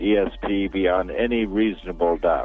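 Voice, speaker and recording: A man's fairly low voice with ordinary pitch variation, music in the background. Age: 70s. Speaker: physicist and author. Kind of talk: interview.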